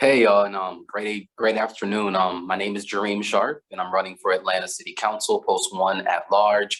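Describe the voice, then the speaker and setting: A man speaks in a normal speaking voice at a fairly low pitch with fairly even intonation. His pace is moderate with hardly any pauses. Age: 30s. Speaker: political candidate. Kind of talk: candidate forum statement.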